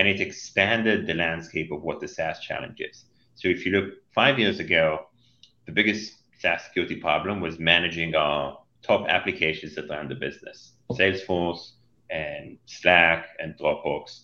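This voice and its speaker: A man talks at a moderate pace with an Israeli accent. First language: Hebrew. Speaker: cybersecurity company CEO and co-founder. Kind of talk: podcast interview.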